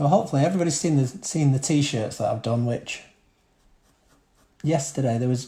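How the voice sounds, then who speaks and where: A man speaks at a fairly quick pace in a dark, mellow, somewhat breathy tone. His pitch varies in an ordinary way. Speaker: art teacher. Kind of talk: live-streamed drawing tutorial. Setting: live stream from home living room. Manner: fast.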